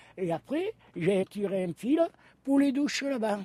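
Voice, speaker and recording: Through a dry, close sound with no echo, a man with a high pitch and a dark, mellow tone speaks at a fairly slow pace with very wide pitch swings. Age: 70s. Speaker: retired camper. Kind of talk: casual interview. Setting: outdoors at a beach campsite.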